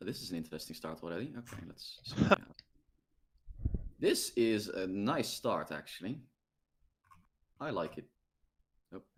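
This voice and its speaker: With a Dutch accent, a man talks at a moderate pace, leaving long, frequent pauses, with big swings in loudness. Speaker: game streamer hosting multiplayer match. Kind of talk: casual gaming chat. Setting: online voice chat stream.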